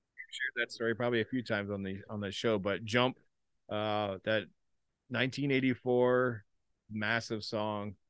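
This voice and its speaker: Heard dry and close with no echo, a man with a Canadian accent and a fairly low pitch speaks with fairly even intonation in a plain, everyday voice. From Canada, Ontario. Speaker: podcast co-host. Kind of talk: casual chat.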